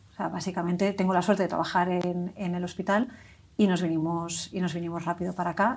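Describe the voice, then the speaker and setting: A woman's somewhat breathy voice at a very fast pace, with fairly even intonation. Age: 40s. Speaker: stroke survivor, hospital employee. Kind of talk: testimony. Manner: halting.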